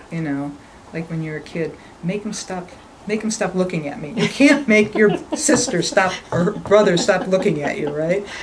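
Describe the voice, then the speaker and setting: Noticeable background noise sits under a woman's medium-pitched voice. Her intonation is lively and her loudness swings widely. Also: moderate pace. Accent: American. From western New York (North Tonawanda, near Buffalo). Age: 60s. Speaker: construction company owner. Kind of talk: interview conversation.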